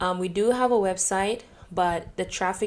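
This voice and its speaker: Fairly even intonation from a woman at a medium pitch. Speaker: podcast host, entrepreneur. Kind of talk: casual podcast monologue. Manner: calm.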